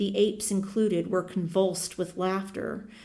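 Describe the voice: The clip is plain reading aloud. Nothing more is heard than that.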